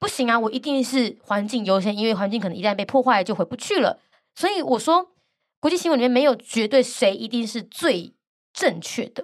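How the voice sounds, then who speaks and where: A woman with a fairly high pitch speaks in an animated tone with lively intonation at a moderate pace, recorded very cleanly against a silent background. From Taiwan, Gangshan (Kaohsiung). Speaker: international news podcaster and author. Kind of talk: interview. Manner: animated, laughs often.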